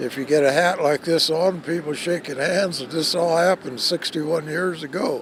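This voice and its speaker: Noticeable background noise runs under a man's voice. He talks at a fairly slow pace with ordinary pitch variation. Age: 80s+. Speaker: war veteran. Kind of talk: news interview. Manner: halting.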